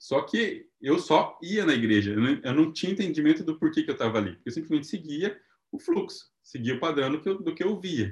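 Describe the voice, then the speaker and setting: A man's fairly high voice with vocal fry, very wide pitch swings, a fairly quick pace and hardly any pauses. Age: 30s. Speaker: missionary and entrepreneur. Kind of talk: testimony.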